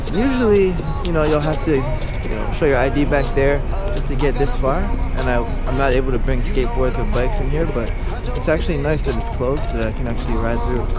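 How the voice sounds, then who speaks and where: A fairly quick-paced man, dry sound with no echo, music in the background. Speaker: vlogger. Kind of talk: casual vlog chat. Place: waterside. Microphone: phone near.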